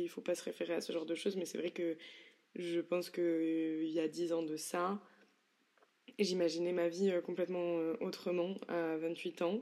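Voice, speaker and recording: With monotone, flat intonation, this woman keeps a moderate pace. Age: 20s. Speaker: solo podcaster. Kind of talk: introspective solo monologue. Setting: bedroom at home.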